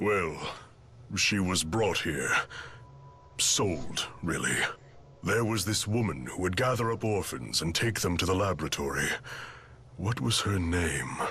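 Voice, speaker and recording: Using a put-on character voice with a very deep, low pitch, a man speaks at a fairly slow pace with long, frequent pauses over clear background noise. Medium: video game.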